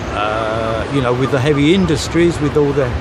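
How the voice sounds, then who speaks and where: Audible room echo and noticeable background noise accompany a man whose pitch is fairly high. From London area, England. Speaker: coast watch volunteer. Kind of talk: interview. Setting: outdoors. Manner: hesitant, many fillers.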